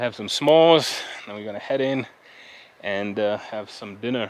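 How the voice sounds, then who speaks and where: The man speaks at a fairly slow pace. His voice sounds dry, with no echo. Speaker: travel vlogger. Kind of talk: casual vlog chat. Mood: relaxed, reflective. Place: open country. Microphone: phone near.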